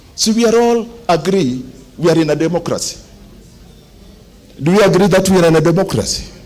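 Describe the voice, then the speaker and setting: Amid noticeable background noise and audible room echo, the speaker moves at a fairly quick pace broken by long, frequent pauses, with very even loudness and ordinary pitch variation. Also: man, high pitch for a man. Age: 70s. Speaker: engineer, association member. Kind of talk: meeting speech, appeal to members. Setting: general meeting in a club hall.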